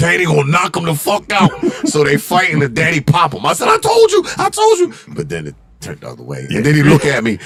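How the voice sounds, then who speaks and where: A man at a very fast pace, big swings in loudness, music in the background. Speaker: fitness gym founder and trainer. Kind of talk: casual podcast interview, storytelling. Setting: live stream podcast studio. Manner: animated.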